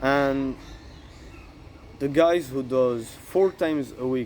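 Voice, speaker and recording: A man speaks with a French accent. His pitch is medium and his intonation fairly even. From France. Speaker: fitness content creator. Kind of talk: casual tutorial monologue. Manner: halting, with fillers.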